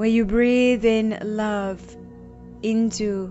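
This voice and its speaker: Music plays in the background as a woman speaks. Her tone is calm and soothing, her intonation monotone and flat. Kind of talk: guided meditation. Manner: slow, calm, soothing.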